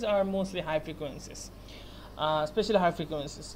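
Here a man talks with a Bengali accent. Light background noise is present. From Bangladesh. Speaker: university student. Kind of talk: class project presentation. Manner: halting, many fillers. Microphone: webcam.

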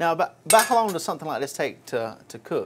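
A man talks at a fast pace with a fairly high pitch and a slightly husky edge. His pitch swings widely.

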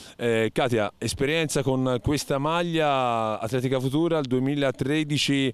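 Very slow delivery with ordinary pitch variation and a dry sound with no echo. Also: man. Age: 40s. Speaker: athletics coach and author; athletics coach. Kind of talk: interview. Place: open country. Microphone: handheld.

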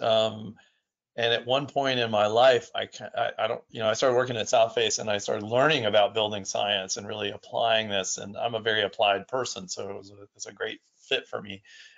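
A man's unremarkable speaking voice at medium pitch, moderate pace and fairly even intonation, with big swings in loudness. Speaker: building science instructor. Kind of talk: webinar lecture. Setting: online webinar.

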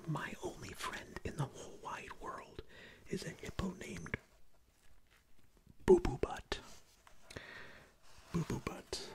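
There is noticeable background noise as a man whispers very slowly, with long, frequent pauses. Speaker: streamer reading a book aloud. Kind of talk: read-aloud performance with asides. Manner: whispered reading of book text. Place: home room. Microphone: studio mic.

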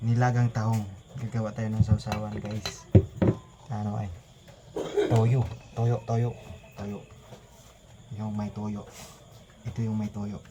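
Against noticeable background noise, a man with a fairly low pitch speaks at a fairly slow pace in a monotone, flat way, with long, frequent pauses. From Philippines, mountain area. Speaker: mukbang vlogger. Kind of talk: mukbang eating vlog. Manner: casual, repetitive.

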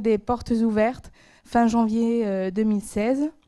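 Over a quiet background, a woman speaks at a very slow pace, her fairly high voice dark and mellow in tone with fairly even intonation. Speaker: master's student; presenter. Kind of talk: academic presentation. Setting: stage with audience. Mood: nervous, reflective, hesitant. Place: hall. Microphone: handheld.

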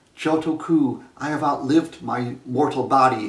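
His voice carries audible room echo. The speaker is a man. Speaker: origami storyteller. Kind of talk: storytelling. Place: home room. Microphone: camera far.

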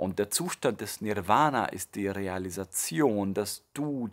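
Over a quiet background, a man speaks in a fairly low pitch with ordinary pitch variation and a calm, warm tone. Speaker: meditation teacher and music creator. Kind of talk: promotional introduction to a meditation track, explanatory monologue. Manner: calm, warm, explanatory, with filler words and restarts. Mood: calm, thoughtful. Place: home room.

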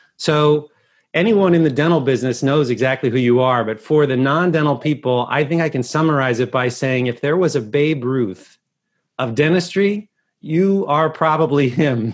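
A man's voice shows ordinary pitch variation against a quiet background. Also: fairly high pitch for a man, moderate pace. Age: 40s. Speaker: podcast host. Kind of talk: interview. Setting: video call. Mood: warm, admiring. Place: home room. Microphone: earbuds.

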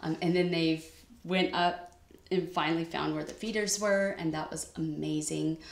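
In an American accent, a woman with a fairly low pitch speaks at a moderate pace in a monotone, flat intonation, with audible room echo. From California. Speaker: cross-stitch YouTuber; cross-stitch vlogger. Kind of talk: casual vlog chat. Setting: home sewing room. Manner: casual with many fillers. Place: home room. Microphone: webcam.

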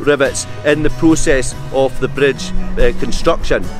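A man speaks at a moderate pace with a strong Scottish accent. The sound is dry with no echo, and clear music plays in the background. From Scotland. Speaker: local history guide. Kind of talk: documentary interview, talking to camera on location. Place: waterside. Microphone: lapel.

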